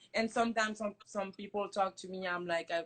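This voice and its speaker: A woman speaks in a French accent. Her pitch is medium. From France. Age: 20s. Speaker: hair company founder. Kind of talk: casual chat. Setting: Instagram live stream.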